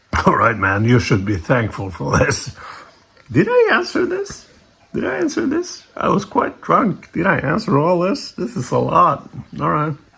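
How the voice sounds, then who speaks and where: Background noise is noticeable here. Under it, a man talks at a moderate speed. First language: not English. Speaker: YouTuber reacting to comments. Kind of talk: casual rant reading and answering a comment. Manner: halting, many restarts; animated, exasperated.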